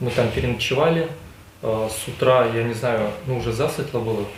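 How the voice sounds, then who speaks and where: A man's medium-pitched voice with audible room echo and noticeable background noise. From Russia, Mordovia. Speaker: prisoner of war. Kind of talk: interrogation interview. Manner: loud; halting.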